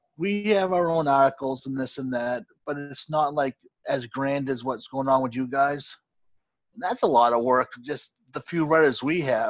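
A man with an American accent and a normal speaking voice talks at a fairly slow pace and fairly high pitch. His pitch variation is ordinary, over a quiet background. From Boston area, Massachusetts. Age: 40s. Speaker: sports podcast host. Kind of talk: casual chat.

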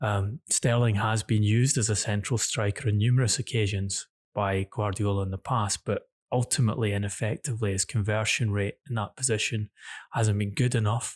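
Somewhat breathy speech with fairly even intonation, dry and close with no echo, in a very clean recording over a silent background. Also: man, fairly low pitch for a man. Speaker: football journalist co-host. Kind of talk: football news podcast discussion. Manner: measured, hesitant with fillers.

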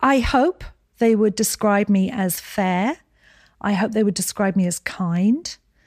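The speech has an American accent, a fairly slow pace, very even loudness and ordinary pitch variation, with a dry, close sound and no echo. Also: woman, medium pitch for a woman. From Scotland, Edinburgh. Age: 60s. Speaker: skincare company founder. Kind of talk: interview.

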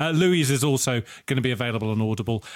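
On a very clean recording with a silent background, a man is speaking. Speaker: podcast co-host. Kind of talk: casual chat.

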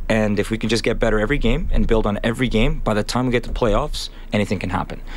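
Against noticeable background noise, a man talks at a very fast pace with ordinary pitch variation. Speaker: high school soccer coach and teacher. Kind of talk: radio interview. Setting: radio studio.

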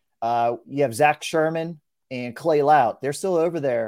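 A man with a normal speaking voice, fairly high pitch, lively intonation and a moderate pace. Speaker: sports reporter and podcast host. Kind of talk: casual interview chat.

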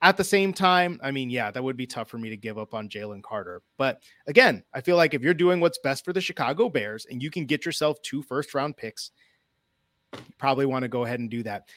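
A man with an American accent talks in a plain, everyday voice at a medium pitch and a fairly quick pace, with lively intonation and big swings in loudness. The recording is very clean with a silent background, and the sound is dry and close with no echo. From Northwest Indiana. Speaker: sports writer. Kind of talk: casual chat. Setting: live stream.

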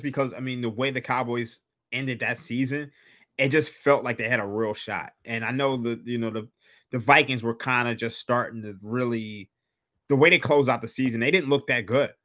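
A man's bright, sharp voice comes through on a very clean recording with a silent background. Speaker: sports betting analyst. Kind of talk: casual chat.

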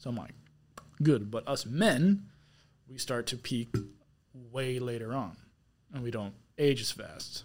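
Loudness swings widely as a man speaks at a fairly slow pace, his pitch varying in an ordinary way. Long pauses come often. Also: medium pitch for a man. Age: 20s. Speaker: guest, military contractor. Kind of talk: casual chat.

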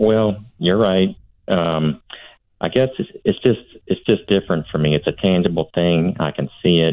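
A man with a very deep, low voice talks at a fairly slow pace. His pitch varies in an ordinary way. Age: 50s. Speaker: caller. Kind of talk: phone-in call.

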